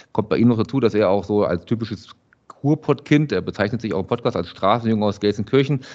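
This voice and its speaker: A man talking at a very fast pace. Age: 40s. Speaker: journalist and podcast producer. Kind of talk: casual chat.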